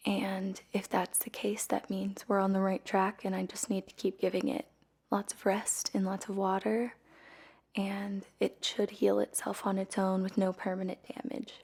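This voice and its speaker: A soft-spoken woman, somewhat breathy, talks at medium pitch and a moderate pace with fairly even intonation. The recording is very clean, with a silent background. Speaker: singer. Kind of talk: casual talk to camera. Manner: soft-spoken, quiet.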